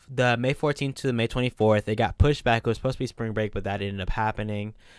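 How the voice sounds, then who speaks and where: A man with an unremarkable speaking voice talks at medium pitch with ordinary pitch variation, recorded very cleanly against a silent background, with a dry, close sound and no echo. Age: 20s. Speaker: podcast co-host, college student. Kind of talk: casual chat.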